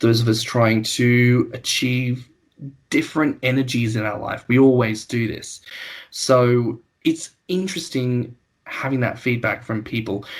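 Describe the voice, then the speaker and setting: Speaking at a fairly slow pace, a man with an Australian accent has a medium pitch. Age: 20s. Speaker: podcast host. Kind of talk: casual chat.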